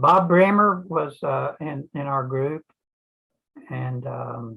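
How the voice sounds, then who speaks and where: At a very slow pace, a man speaks in a fairly high pitch with a bright, sharp tone, ordinary pitch variation and big swings in loudness. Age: 80s+. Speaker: retired engineer, amateur radio operator. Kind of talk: casual chat.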